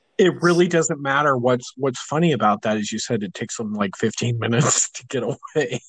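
A man talks at a fairly quick pace with hardly any pauses. His pitch is medium and his intonation lively. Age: 40s. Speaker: podcast co-host, web developer. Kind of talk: casual chat. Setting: at his desk, remote recording.

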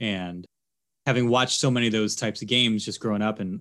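In a very clean recording with a silent background, a man with an American accent has an unremarkable speaking voice, a fairly low pitch and fairly even intonation. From Philadelphia, US Northeast. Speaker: TV sports anchor. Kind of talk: casual interview.

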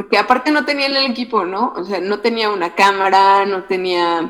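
Pitch shifts in an ordinary way. It is an ordinary speaking voice, moving at a moderate speed. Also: woman. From Mexico, Temoaya, State of Mexico. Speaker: filmmaker. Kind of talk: interview.

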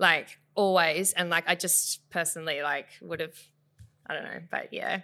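The voice has an Australian accent and a bright, sharp tone. Its intonation is monotone and flat. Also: woman, fairly low pitch for a woman, moderate pace, very clean recording, silent background. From South West Western Australia, Bunbury. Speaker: photographer and business owner. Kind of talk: casual interview.

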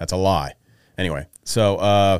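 Recorded very cleanly against a silent background, a man with an American accent speaks at a fairly low pitch. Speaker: podcast host. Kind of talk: casual chat. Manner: joking.

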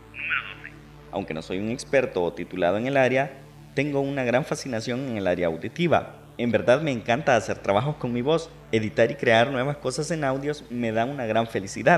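A man's unremarkable speaking voice moves fairly quickly, pitched in the middle range, with lively intonation. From El Salvador. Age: 20s. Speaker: podcast host and radio announcer. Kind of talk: personal monologue.

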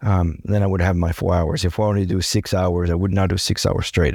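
The speaker has a French accent and ordinary pitch variation. The sound is dry and close, with no echo. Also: man. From France. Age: 40s. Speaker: ocean rower and kayaker. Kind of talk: interview.

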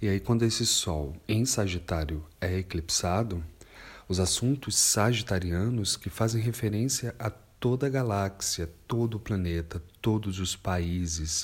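Against a silent background in a very clean recording, a man speaks fairly slowly in a somewhat breathy, fairly low voice with ordinary pitch variation. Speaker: astrologer. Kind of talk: monologue podcast.

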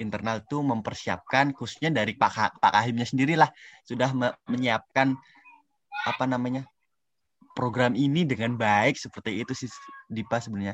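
A normal speaking voice is heard. Its intonation stays fairly even. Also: man, medium pitch for a man, moderate pace. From Indonesia, Central Lampung (Javanese parents). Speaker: student. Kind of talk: casual interview.

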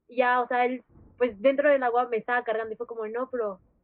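A woman's high voice with ordinary pitch variation. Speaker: podcast host. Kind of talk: casual chat.

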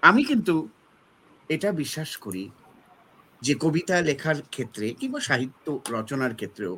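A man talks at a fairly high pitch with a bright, sharp tone and some vocal fry. His pitch swings very widely. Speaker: essayist and literary scholar. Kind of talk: panel discussion.

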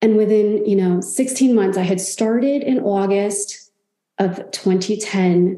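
A woman speaks at a very slow pace and medium pitch, her loudness very even and her intonation fairly even, with audible room echo. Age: 40s. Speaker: life coach. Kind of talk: casual chat.

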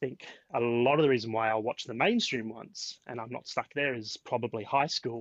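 Speaking with an Adelaide accent, a man delivers his words at a moderate pace and medium pitch, monotone and flat, with a dry, close sound and no echo. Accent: Australian, Adelaide, slight to moderate. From Adelaide, Australia. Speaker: podcast guest. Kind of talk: casual chat.

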